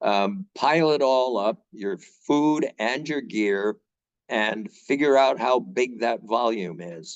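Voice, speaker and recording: At a very slow pace, the speech has lively intonation and a dry, close sound with no echo. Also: man, medium pitch for a man. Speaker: trail association volunteer crew leader and presenter. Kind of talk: webinar presentation. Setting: video call webinar. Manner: casual, conversational with fillers.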